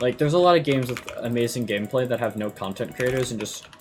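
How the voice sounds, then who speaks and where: Very fast speech with an American accent over noticeable background noise. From US Midwest. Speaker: gaming YouTuber. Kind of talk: gameplay commentary rant. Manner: fast, stammering with many repeats; animated.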